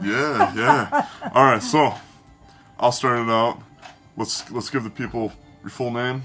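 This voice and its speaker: Over music in the background, the speech moves at a fairly slow pace with long, frequent pauses. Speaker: family interviewer. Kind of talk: casual interview questions.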